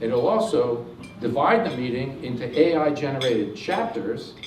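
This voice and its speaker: A man speaks with audible room echo around him. Noticeable background noise is present. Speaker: technology presenter. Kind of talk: presentation to audience. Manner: fast; many filler words.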